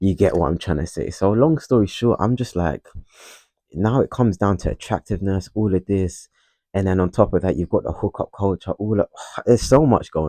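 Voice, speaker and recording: Against a quiet background, a man with a dark, mellow tone and fairly low pitch speaks with lively intonation in a dry, close sound with no echo. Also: fairly quick pace. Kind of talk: casual monologue. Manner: halting; stutters.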